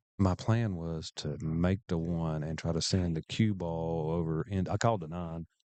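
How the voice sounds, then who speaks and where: A man with a very deep, low pitch and a dark, mellow tone talks at a moderate pace with hardly any pauses and fairly even intonation, the sound dry and close with no echo against a quiet background. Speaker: pool commentator and player. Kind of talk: live commentary. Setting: pool hall. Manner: loud.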